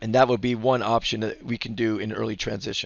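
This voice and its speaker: A man's medium-pitched voice with vocal fry and fairly even intonation. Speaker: basketball coach. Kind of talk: tutorial. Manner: fast.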